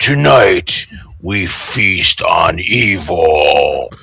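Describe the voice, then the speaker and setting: Growling, a man performs a put-on character voice. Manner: yelling triumphantly.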